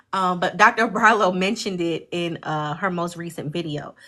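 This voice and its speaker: In an American accent, a woman talks with a bright, sharp tone. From Jamaica, Queens, New York. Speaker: livestream host, study group leader. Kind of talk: casual livestream discussion. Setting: livestream.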